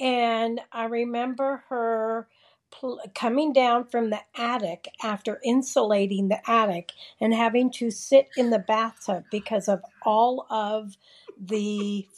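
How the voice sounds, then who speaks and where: A woman with an American accent and a fairly high pitch talks at a very slow pace with ordinary pitch variation against a quiet background. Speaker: retiree and sister of the host. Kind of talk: casual family conversation. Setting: remote call.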